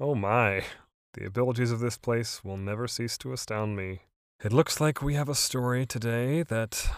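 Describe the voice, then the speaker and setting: A man speaks at a moderate pace with a medium pitch and an ordinary speaking voice. The recording is very clean, with a silent background. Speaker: podcast host, story introducer. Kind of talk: scripted-style in-character intro.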